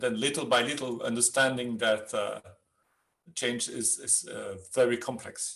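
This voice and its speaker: Here a man speaks at a medium pitch. His tone is bright and sharp. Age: 60s. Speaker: change management consultant. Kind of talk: webinar interview. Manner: halting.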